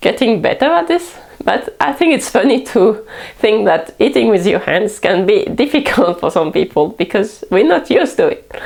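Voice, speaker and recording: At a moderate pace and with a French accent, a woman's fairly high voice makes very wide pitch swings at very even loudness over noticeable background noise. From France. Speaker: cooking vlogger. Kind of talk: casual talk to camera.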